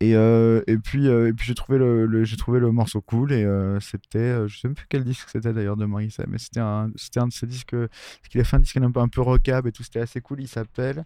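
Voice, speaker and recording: This man talks at a fairly quick pace with hardly any pauses. His tone is dark and mellow, and his intonation fairly even. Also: medium pitch for a man. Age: 30s. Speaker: electronic music producer. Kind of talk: casual chat.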